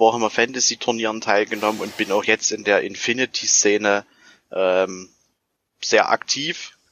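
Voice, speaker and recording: A man's voice at a medium pitch. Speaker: tabletop gamer, fellow podcaster. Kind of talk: casual chat.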